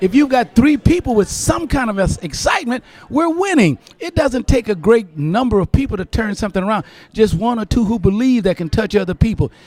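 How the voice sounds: With an American accent, a man talks at a fairly quick pace and a high pitch, his tone slightly mellow, his intonation lively and his pauses few.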